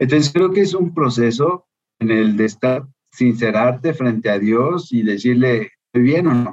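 Delivered at a fairly slow pace with lively intonation and very even loudness, this is a plain, everyday voice. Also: man, medium pitch for a man. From Mexico, Guadalajara. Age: 50s. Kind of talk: interview conversation.

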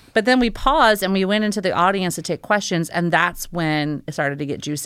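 A woman at a fairly quick pace with ordinary pitch variation, on a very clean recording with a silent background. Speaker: aviation maintenance industry professional. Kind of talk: casual interview chat. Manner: fast, loud when excited.

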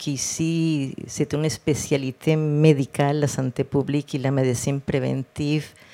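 In a Spanish accent, a woman with a very deep, low pitch and a dark, mellow tone speaks at a fairly slow pace in a monotone, flat intonation. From Colombia, Cartagena. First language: Spanish (speaking French). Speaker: public health director, physician. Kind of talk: interview. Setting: live podcast with audience.

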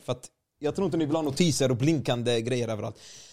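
The voice is a man's, pitched fairly high with ordinary pitch variation. It sounds somewhat breathy. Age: 20s. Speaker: gaming streamer and video editor. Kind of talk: casual chat.

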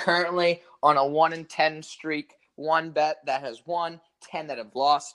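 At a fairly slow pace, a man with a fairly high pitch and a bright, sharp tone speaks in a monotone, flat way, his loudness swinging widely. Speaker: podcast co-host. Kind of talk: casual chat.

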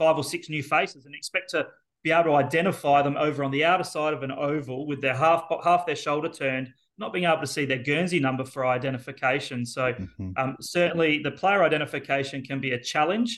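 A man with an Australian accent, talking at a very fast pace with ordinary pitch variation. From South Australia, Elizabeth. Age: 40s. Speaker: football commentator. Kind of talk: casual interview.

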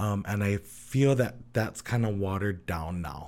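In a very clean recording with a silent background, a man with a Hawaiian accent speaks at a fairly low pitch with ordinary pitch variation. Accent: Hawaii local English. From Hawaii, Oahu (Kalihi), Samoan heritage. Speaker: Samoan dancer and culture bearer. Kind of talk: casual interview chat.

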